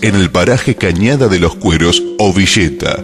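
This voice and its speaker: Music plays in the background as a man talks at a fairly slow pace. His pitch is fairly low and his intonation lively. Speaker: documentary narrator. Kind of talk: documentary narration.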